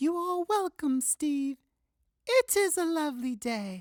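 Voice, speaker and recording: A squeaky, high-pitched put-on character voice. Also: fairly slow pace. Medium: read story. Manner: formal, scripted politeness.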